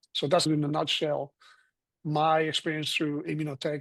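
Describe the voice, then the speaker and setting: With a Spanish accent, a man talks at a fairly quick pace in a dry, close sound with no echo. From Colombia. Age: 60s. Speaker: physician and health product consultant. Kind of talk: panel discussion.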